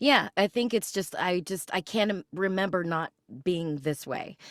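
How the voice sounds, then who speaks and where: A woman with a plain, everyday voice talks at a fairly slow pace, medium pitch and ordinary pitch variation. The sound is dry and close with no echo, and the recording is very clean with a silent background. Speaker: voice actor. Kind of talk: interview answer.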